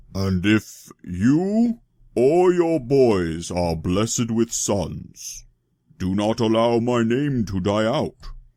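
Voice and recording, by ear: A man speaks in a put-on character voice at a very slow pace, his pitch medium. The recording is very clean, with a silent background.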